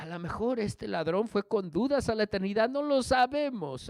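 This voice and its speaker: Over a quiet background in a dry, close sound with no echo, a man with a high pitch makes very wide pitch swings. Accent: British. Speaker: pastor. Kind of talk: sermon.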